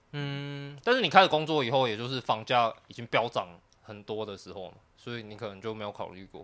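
A man talks fairly quickly in an ordinary speaking voice at medium pitch. His pitch varies in an ordinary way while his loudness swings widely. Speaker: podcast co-host. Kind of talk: casual chat.

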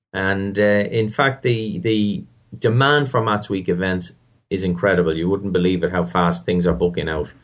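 With an Irish accent, a man talks at a moderate pace in a very deep, low pitch. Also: ordinary pitch variation, very even loudness. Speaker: maths festival founder. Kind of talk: interview.

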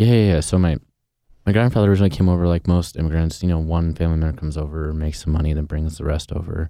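Very deep and low-pitched, a man with a West Coast accent talks very fast, his tone dark and mellow and his intonation fairly even. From Portland, Oregon. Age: 30s. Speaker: chef and restaurant owner. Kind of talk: interview.

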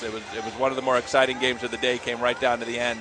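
A man's monotone, flat delivery over music in the background. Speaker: tournament director. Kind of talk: on-air interview.

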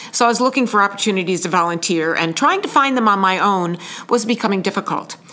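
A woman talks very fast at a medium pitch with ordinary pitch variation and very even loudness, over noticeable background noise. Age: 60s. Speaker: senior volunteer, retiree. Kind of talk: interview.

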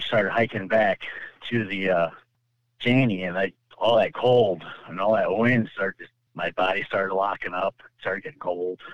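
With a dry, close sound and no echo, a man speaks at a moderate pace in a fairly low voice, keeping his intonation fairly even and leaving long, frequent pauses. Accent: American. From California. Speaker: ice angler. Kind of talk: personal story interview.

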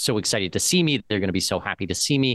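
In a Canadian accent, a man with a plain, everyday voice talks at a fairly quick pace with a fairly low pitch and lively intonation over a quiet background. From Canada, Southwestern Ontario. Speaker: expat and citizenship consultant. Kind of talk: interview.

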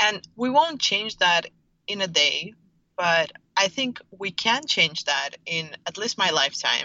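Very wide pitch swings mark a woman talking at a very slow pace. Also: medium pitch for a woman. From Russia, St. Petersburg. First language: Russian. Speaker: startup founder. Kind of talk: interview.

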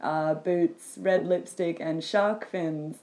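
A woman with an Australian accent and ordinary pitch variation. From Sydney, Australia. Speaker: guest. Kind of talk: casual chat. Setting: sitting on the floor at home.

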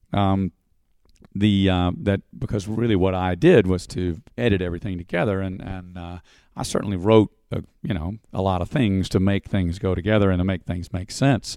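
A very deep, low-pitched man's voice in an American accent, at a moderate pace with fairly even intonation. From Texas. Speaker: stage performer and show creator. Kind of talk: interview. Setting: theater. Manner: halting with many fillers.

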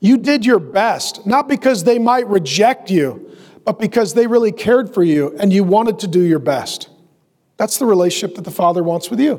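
A man with an American accent speaks in a high pitch. His pace is moderate and his intonation lively. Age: 50s. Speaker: pastor. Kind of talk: sermon. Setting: church with live audience.

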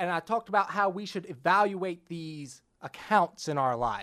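At a fairly slow pace, the voice comes through against a quiet background. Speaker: financial planner, podcast host. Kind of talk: solo podcast monologue. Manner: animated.

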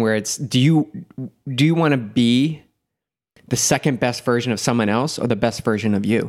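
An ordinary speaking voice moves at a moderate pace, with fairly even intonation and very even loudness. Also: man. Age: 40s. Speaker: endurance and mindset coach. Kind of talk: casual interview chat.

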